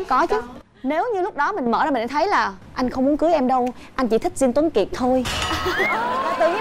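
Music plays in the background as a woman talks. Her voice is high-pitched and her pace fairly quick. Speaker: talk show host or guest. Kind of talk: talk show commentary, personal story. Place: studio. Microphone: lapel.

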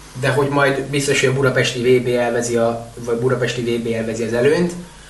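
A man talks very fast at a medium pitch. His intonation is monotone and flat, with noticeable background noise. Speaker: water polo podcast co-host. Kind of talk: casual chat.

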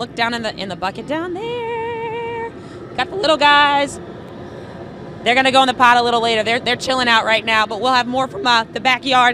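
A woman speaks with a high pitch and ordinary pitch variation. There is noticeable background noise. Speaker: TV morning news reporter. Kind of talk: live TV news segment. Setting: outdoors on location.

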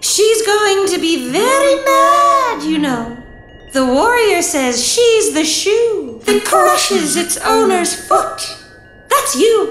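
An extremely high put-on character voice at a very slow pace, very wide pitch swings, slight echo and loud background noise. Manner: riddling, broken speech.

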